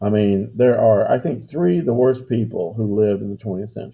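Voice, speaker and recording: A man's somewhat breathy voice at a moderate pace. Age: 60s. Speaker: history teacher. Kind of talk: lecture. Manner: casual, conversational.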